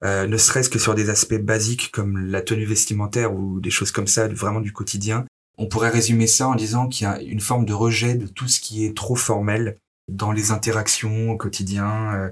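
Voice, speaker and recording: Somewhat breathy and monotone, a man speaks with flat intonation at a fairly low pitch and a moderate pace. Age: 30s. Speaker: HR business partner. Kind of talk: interview. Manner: hesitant with fillers.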